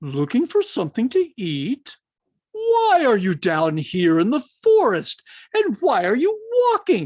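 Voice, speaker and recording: A put-on character voice, fairly high in pitch and fairly slow, over a quiet background. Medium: read story. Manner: inquisitive, emphatic.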